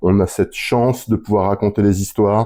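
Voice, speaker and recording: Over a silent background in a very clean recording, a man speaks at a moderate pace with a dark, mellow tone, a fairly low pitch and fairly even intonation. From France (Lorraine). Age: 50s. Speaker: business development for a magazine publisher. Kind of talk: interview. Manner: hesitant, many fillers.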